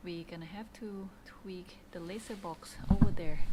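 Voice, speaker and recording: A woman talks at a moderate pace in a dark, mellow tone. Audible room echo surrounds her voice. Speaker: physicist. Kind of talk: lab vlog with technical explanation. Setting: physics lab.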